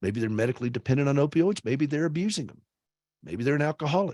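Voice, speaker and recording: A man with a Southern US accent, fairly high pitch and lively intonation, in a dry, close sound with no echo. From US South, South Carolina. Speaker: author and radio host. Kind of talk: speech. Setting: video call. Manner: fast; animated.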